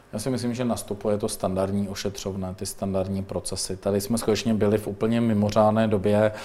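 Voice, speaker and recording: The man's pitch is fairly low, and he keeps a monotone, flat intonation. He speaks at a fairly quick pace with hardly any pauses. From Czech Republic, Mladá Boleslav. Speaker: deputy minister. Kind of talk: interview. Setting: studio. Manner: hesitant, with fillers.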